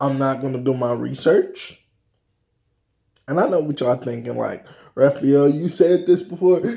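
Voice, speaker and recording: At a fairly slow pace, a man talks in a fairly high pitch. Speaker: vlogger. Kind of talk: casual vlog monologue. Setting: home office, video recording. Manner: halting, stumbling over words.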